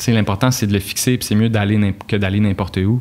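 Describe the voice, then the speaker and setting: This man's voice has a fairly low pitch. The intonation stays monotone and flat. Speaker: university student. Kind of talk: casual podcast chat. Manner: relaxed, conversational with filler words.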